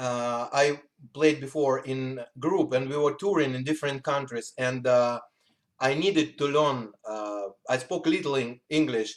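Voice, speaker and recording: Here a man speaks in a Russian accent at a medium pitch. His pace is fairly slow, and his pitch varies in an ordinary way. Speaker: musician. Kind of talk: interview. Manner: halting.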